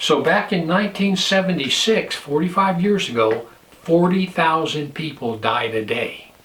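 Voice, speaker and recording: With audible room echo, a high-pitched man speaks in an American accent with lively intonation. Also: moderate pace. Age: 60s. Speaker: pastor and prepper vlogger. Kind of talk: casual vlog monologue.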